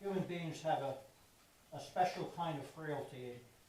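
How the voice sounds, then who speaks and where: A man's fairly high voice at a moderate pace, with noticeable background noise and audible room echo. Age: 80s+. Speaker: lay speaker at a church service. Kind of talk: sermon.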